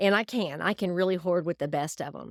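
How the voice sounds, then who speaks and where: Someone with a Southern US accent speaks with ordinary pitch variation on a very clean recording with a silent background and a dry, close sound with no echo. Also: woman. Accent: Southern US drawl. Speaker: homesteader, podcast host. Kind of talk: podcast monologue. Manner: casual, straightforward, humorous.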